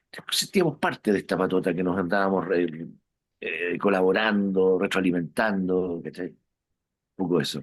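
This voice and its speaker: A man speaks in a Chilean accent at a moderate pace. His pitch is very deep and low, and his intonation is fairly even. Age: 60s. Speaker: rock musician. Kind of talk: interview. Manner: casual, hesitant with fillers.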